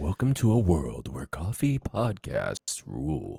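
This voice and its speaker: Using a put-on character voice, a man talks at a fairly slow pace, his fairly low pitch swinging very widely. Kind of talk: cinematic narration. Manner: dramatic, announcer-like.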